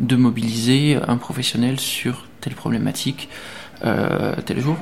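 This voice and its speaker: Fairly even in intonation, a man talks over noticeable background noise. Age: 30s. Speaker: specialized social educator. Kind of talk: interview.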